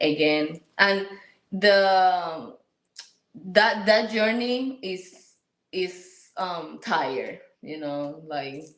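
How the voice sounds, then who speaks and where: In a Puerto Rican accent, a woman speaks very slowly with long, frequent pauses. Her intonation is lively, her loudness swings widely, and the room echo is audible. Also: medium pitch for a woman. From Puerto Rico. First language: Spanish. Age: 30s. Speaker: interview guest, military spouse and mother. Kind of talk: casual interview. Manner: halting, many repetitions.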